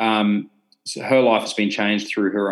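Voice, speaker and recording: This man speaks fairly quickly in a fairly low pitch. His intonation is monotone and flat. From Australia. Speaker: fashion brand founder and CEO, former motocross racer. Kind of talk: interview.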